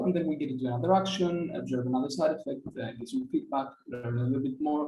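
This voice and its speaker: Speaking at a very fast pace, a man talks with a Greek accent. Audible room echo is present. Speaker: software engineer. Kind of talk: conference talk. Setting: video call.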